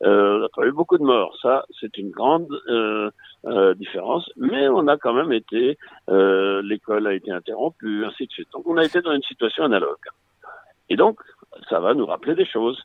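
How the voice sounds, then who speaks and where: A man's moderate pace, broken by long, frequent pauses. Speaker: retired clinical psychologist. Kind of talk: interview.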